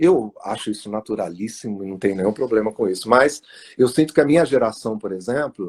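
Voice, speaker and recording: The man's voice sits fairly low, with lively intonation. He moves at a fairly quick pace. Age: 60s. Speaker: author. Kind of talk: interview. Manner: halting, many fillers.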